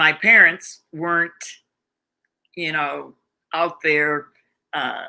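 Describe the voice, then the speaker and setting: Very slow and marked by long, frequent pauses, a woman's fairly low voice has a bright, sharp tone and fairly even intonation. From US South. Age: 80s+. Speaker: educator. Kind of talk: interview.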